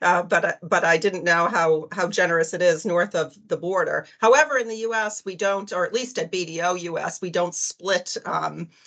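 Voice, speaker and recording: A woman speaks with a Boston accent. Her pace is moderate. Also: medium pitch for a woman, ordinary pitch variation. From US, Boston. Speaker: accounting firm partner. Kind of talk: panel presentation. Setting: video call.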